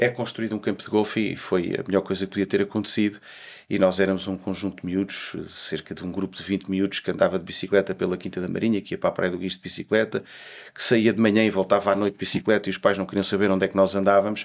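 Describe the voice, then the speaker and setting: In a fairly low voice, a man rattles along at a very fast pace with monotone, flat intonation. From Portugal, Lisbon and Alentejo; Portugal. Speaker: golf federation president; interviewee. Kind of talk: interview. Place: studio. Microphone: studio mic.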